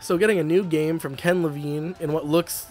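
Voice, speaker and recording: With music playing in the background, the speaker moves at a fairly quick pace with ordinary pitch variation. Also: man. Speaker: gaming commentator. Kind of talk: casual gaming commentary.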